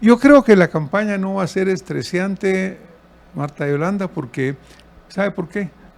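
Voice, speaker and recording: Using lively intonation, a man with a high pitch talks at a fairly slow pace. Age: 70s. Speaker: presidential candidate. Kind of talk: interview.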